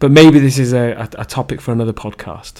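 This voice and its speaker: A man with a Leicester accent. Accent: English Midlands (Leicester). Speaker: podcaster sharing personal story. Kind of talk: personal monologue. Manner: halting.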